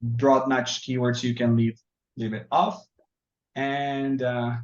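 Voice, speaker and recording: A man with a Spanish accent talks at a very slow pace. His medium pitch holds fairly even intonation. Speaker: software trainer. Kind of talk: tutorial. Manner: halting.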